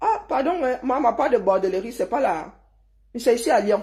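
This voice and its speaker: A woman speaks at a moderate pace with a dark, mellow tone and a southern Cameroonian accent. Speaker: online commentator. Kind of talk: heated rant. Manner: animated.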